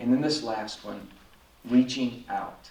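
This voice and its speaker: Audible room echo and noticeable background noise both surround a man's speech. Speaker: pastor and speaker on encephalitis recovery. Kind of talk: conference talk. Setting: conference stage with audience.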